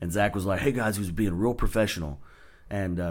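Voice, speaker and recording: With a Texan accent, a man talks at a very fast pace. His pitch is very deep and low. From Texas. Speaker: stand-up comedian. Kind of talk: casual chat.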